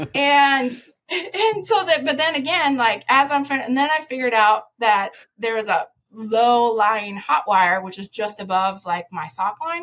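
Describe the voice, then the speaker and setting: With an American accent, a woman speaks at a high pitch and a fairly slow pace, making very wide pitch swings. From US Midwest. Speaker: conservation advocate and former biologist. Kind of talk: casual interview.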